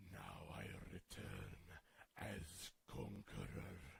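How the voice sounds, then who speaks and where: In a put-on character voice, a man growls with a raspy, menacing tone at a very deep, low pitch, his pitch swinging very widely as he speaks at a very slow pace. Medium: tutorial demo. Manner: slow, menacing, rolled R's.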